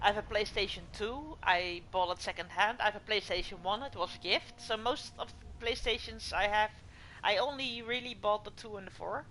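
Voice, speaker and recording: Speaking at a moderate pace with a non-native accent, a woman uses a fairly high pitch and ordinary pitch variation. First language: not English. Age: 40s. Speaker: video game streamer. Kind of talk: live game stream with chat reading. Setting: home, on couch.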